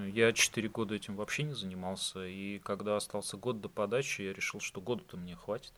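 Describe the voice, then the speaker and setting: Recorded very cleanly against a silent background, a man speaks in a fairly low pitch with a bright, sharp tone and ordinary pitch variation. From Russia, Saint Petersburg. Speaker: IT worker. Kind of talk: casual chat.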